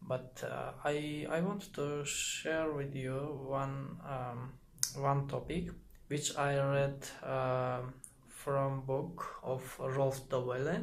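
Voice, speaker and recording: A man with a non-native accent speaks at a very slow pace and fairly high pitch, in a monotone, flat intonation. There is audible room echo and noticeable background noise. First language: not English. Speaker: YouTuber explaining psychology. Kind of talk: casual explainer monologue. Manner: halting, many fillers.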